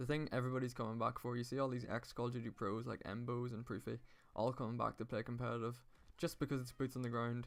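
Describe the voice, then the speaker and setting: A man with an Irish accent, very fast pace and monotone, flat intonation. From Ireland. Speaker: gaming YouTuber. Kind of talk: gameplay commentary. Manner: casual.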